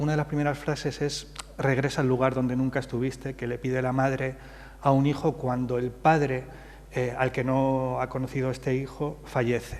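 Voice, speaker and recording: The speech moves at a fairly quick pace with monotone, flat intonation. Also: man. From Madrid, Spain, of Andalusian parents from Jaén. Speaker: playwright. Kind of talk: interview on stage at literary festival. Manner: hesitant, many fillers.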